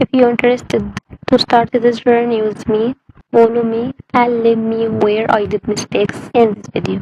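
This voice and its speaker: A woman speaks at a fairly high pitch with flat, monotone intonation. The sound is dry and close, with no echo. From Egypt. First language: Arabic. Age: 20s. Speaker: language learner vlogger. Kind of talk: personal vlog introduction. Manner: halting.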